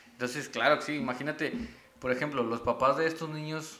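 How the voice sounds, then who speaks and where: A man speaks with a Mexican accent. Audible room echo surrounds his voice. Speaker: podcast co-host. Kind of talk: casual chat.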